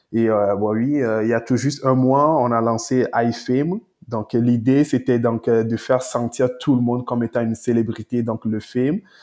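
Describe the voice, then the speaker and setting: A man speaks in a plain, everyday voice at medium pitch and a moderate pace. His intonation is fairly even, and the background is quiet. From Togo, West Africa. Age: 20s. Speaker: entrepreneur. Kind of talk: interview.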